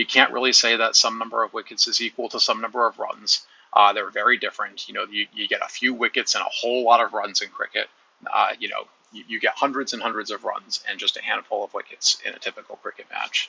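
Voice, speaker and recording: This speaker talks at a very fast pace with an American accent. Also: man. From United States. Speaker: YouTuber discussing sports. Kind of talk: casual monologue. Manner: halting, many fillers.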